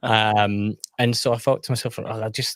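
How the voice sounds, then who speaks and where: With a Scottish accent, a man speaks at a fairly low pitch with fairly even intonation. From Scotland. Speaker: whisky YouTuber. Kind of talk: casual chat.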